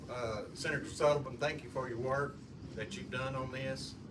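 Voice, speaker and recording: There's noticeable background noise and audible room echo as a man with a medium pitch speaks at a moderate pace. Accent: Southern US. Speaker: audience member asking a question. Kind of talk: question from the floor. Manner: loud.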